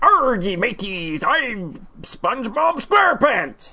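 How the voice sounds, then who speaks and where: A put-on character voice at a fairly high pitch moves at a very slow pace over clear background noise. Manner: comedic.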